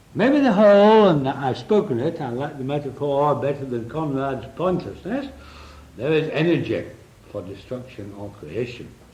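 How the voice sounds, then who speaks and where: Very wide pitch swings from a man, with audible room echo and noticeable background noise. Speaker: psychotherapist. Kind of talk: lecture. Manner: drops voice at important points.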